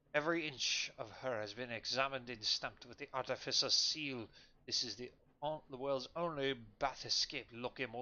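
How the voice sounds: The clip features reading. The voice sounds natural.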